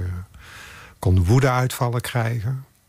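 With ordinary pitch variation and a moderate pace, a somewhat breathy man speaks on a very clean recording with a silent background. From Netherlands, Brabant. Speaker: photographer. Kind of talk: interview.

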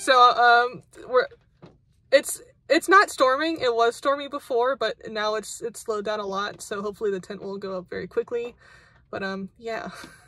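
A woman with lively intonation and big swings in loudness at a moderate pace, music in the background and a dry sound with no echo. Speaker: vlogger. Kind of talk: casual vlog chat. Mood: amused, a bit flustered. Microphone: phone near.

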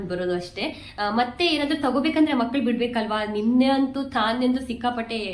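A woman's fairly high-pitched voice with ordinary pitch variation, audible room echo and noticeable background noise. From Kundapura, coastal Karnataka, India. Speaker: vlogger and mother. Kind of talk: casual vlog narration.

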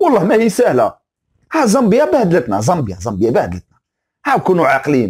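A man with an Algerian accent talks at a fairly quick pace in a high pitch and an animated tone, against a quiet background. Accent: Algerian Arabic with French words. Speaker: football commentator YouTuber; sports commentator. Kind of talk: opinion rant video. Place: home room. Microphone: lapel.

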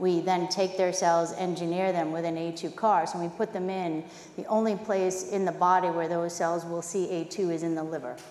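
A woman with a Boston accent speaks at a moderate pace with hardly any pauses, her pitch fairly low and her intonation monotone and flat. Audible room echo and light background noise surround her. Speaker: biotech chief scientific officer. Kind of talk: conference panel discussion. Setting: stage with audience.

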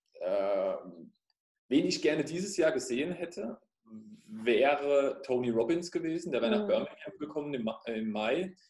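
Pausing long and often, a man with a fairly high pitch talks in a room with audible echo. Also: moderate pace. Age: 30s. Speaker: fitness studio owner and life coach; life coach. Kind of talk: interview. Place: home room. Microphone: webcam.

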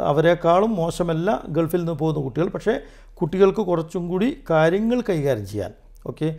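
His tone is dark and mellow, yet this man talks at a high pitch with lively intonation. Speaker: educator and motivational speaker. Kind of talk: interview.

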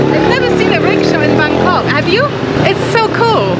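The background noise is loud. Through it, a woman talks. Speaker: travel vlogger. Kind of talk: casual vlog chat. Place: market. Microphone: phone near.

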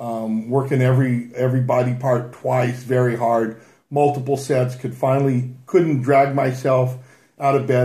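A man speaks at a moderate pace in a dark, mellow, somewhat breathy tone with monotone, flat intonation. Audible room echo surrounds him against a quiet background. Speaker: fitness coach. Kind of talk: casual talk, personal story. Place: home room. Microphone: webcam.

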